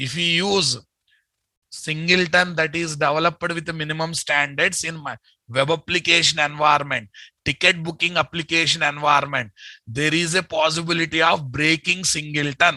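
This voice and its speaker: Here a man with an Indian accent speaks at a fairly high pitch, with fairly even intonation and a bright, sharp tone. The sound is dry and close with no echo, over a quiet background. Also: moderate pace. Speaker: software trainer. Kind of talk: lecture. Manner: repetitive, emphatic.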